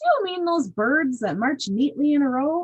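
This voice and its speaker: A put-on character voice is pitched high. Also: moderate pace. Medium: read story. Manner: loud, hearty.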